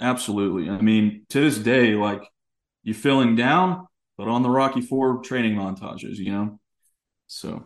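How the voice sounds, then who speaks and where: Talking at a moderate pace with an American accent, a man has an unremarkable speaking voice at a medium pitch with ordinary pitch variation. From East Texas. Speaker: documentary filmmaker. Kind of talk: casual chat.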